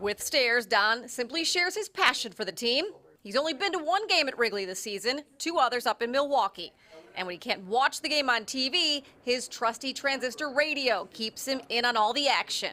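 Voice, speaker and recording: A high-pitched woman speaks at a moderate pace with very wide pitch swings amid noticeable background noise. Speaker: TV news reporter. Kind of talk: TV news narration.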